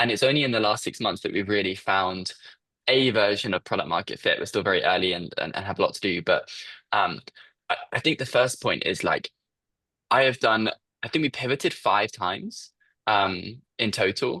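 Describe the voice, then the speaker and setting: This man speaks with a British accent at a moderate pace. The background is quiet. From UK. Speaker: startup founder. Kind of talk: interview.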